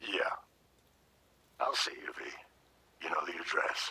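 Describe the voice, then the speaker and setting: A man puts on a raspy character voice at an extremely high pitch, keeping a moderate pace. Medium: video game. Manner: gruff, confident.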